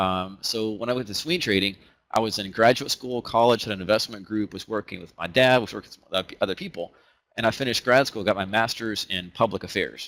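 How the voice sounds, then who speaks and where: The speech comes at a very fast pace with an Alabama accent. Loudness swings widely while pitch varies in an ordinary way. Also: man, fairly low pitch for a man. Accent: Southern US (Alabama). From US South, Huntsville, Alabama. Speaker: trading educator. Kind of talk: webinar presentation. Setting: online webinar. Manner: casual, conversational with fillers.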